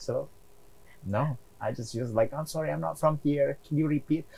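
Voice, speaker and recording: A somewhat breathy man talks at a moderate pace in a fairly high pitch, with ordinary pitch variation. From outside the US. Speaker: real estate investor. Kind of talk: interview.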